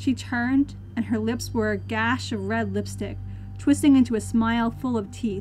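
Unforced reading voice

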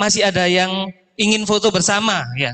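Raising and projecting his voice, a man talks at a high pitch and fairly quick pace against a quiet background. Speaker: master of ceremonies; event emcee. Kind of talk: event hosting, casual chat. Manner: animated, joking. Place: hall. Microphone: handheld.

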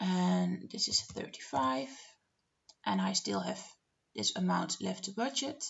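A woman with a Dutch accent and long, frequent pauses. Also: fairly slow pace. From Netherlands. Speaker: budgeting vlogger. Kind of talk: screen-share tutorial narration. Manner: hesitant, many filler words. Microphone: webcam.

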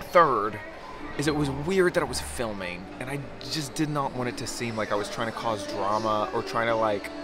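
A man talks at a moderate pace. Clear music plays in the background. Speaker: travel vlogger. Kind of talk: casual vlog chat. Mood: chatty, slightly uneasy. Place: street. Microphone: phone near.

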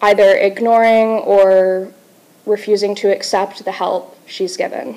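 Monotone, flat intonation marks this woman's speech. She talks at a fairly slow pace. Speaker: presenter. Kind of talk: class presentation. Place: classroom.

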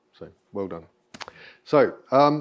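A man with ordinary pitch variation. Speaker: bookbinding demonstrator. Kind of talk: lecture. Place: hall.

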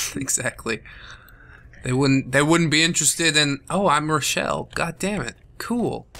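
Bright and sharp, a man's fairly high voice carries vocal fry and ordinary pitch variation. He goes at a moderate pace. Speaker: gaming video creator. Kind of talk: casual let's play commentary. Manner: jokey, laughs often.

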